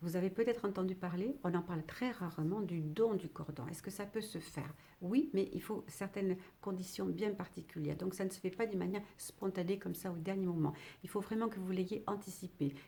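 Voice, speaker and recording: A woman talks at a fairly quick pace and medium pitch, her loudness swinging widely. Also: ordinary pitch variation. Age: 60s. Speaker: retired midwife. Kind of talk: educational talk to camera. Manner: halting, with many fillers.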